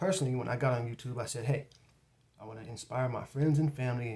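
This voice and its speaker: A somewhat breathy male voice at a medium pitch, with ordinary pitch variation. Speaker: YouTube creator and author. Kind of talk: tutorial. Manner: casual and conversational.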